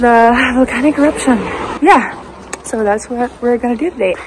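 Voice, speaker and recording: A woman speaks at a high pitch over noticeable background noise. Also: ordinary pitch variation, moderate pace. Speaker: travel vlogger. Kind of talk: casual vlog chat. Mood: excited, a bit nervous. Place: street. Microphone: phone near.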